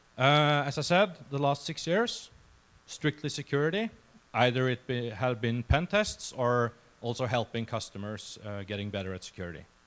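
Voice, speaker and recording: On a very clean recording with a silent background, a man with a Norwegian accent speaks at a moderate pace and medium pitch with lively intonation. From Norway. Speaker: security researcher. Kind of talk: conference talk. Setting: stage with audience. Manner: halting, many fillers.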